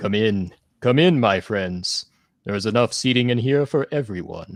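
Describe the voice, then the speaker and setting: A man's put-on character voice at medium pitch and moderate pace, with a dry, close sound with no echo and a quiet background. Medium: actual play. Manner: warm, inviting.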